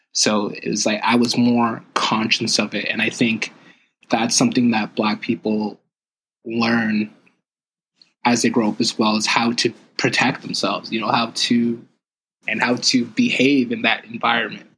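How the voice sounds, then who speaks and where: A man speaks with long, frequent pauses and a bright, sharp tone. His intonation stays monotone and flat. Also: medium pitch for a man, moderate pace. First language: French. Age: 20s. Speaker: podcast host's son sharing experiences. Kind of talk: casual chat.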